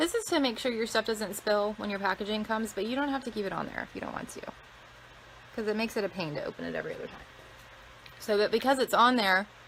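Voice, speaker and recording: Speaking at a very fast pace, a woman with an American accent uses a fairly high pitch and ordinary pitch variation. Noticeable background noise can be heard. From Maine (Lebanon), US Northeast. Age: 30s. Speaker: skincare product reviewer. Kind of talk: live-streamed unboxing with viewer chat. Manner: casual, chatty, many fillers.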